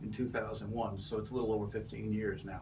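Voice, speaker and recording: Noticeable background noise and audible room echo surround the recording. A man speaks in a monotone, flat intonation. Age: 70s. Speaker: political candidate, retired Navy captain. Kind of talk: interview. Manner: halting, many fillers.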